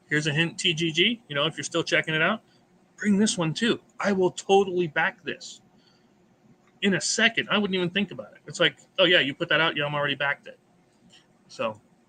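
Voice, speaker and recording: A man with an American accent speaks at a fairly quick pace in a high, bright, sharp voice with lively intonation, broken by long, frequent pauses. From United States. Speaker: board game channel host. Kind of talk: casual chat.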